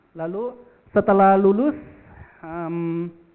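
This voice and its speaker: Using a high pitch and a Jakarta accent, a man talks at a very slow pace with ordinary pitch variation. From Jakarta, Indonesia. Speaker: insurance agency director and motivational speaker. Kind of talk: motivational talk. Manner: casual, many fillers.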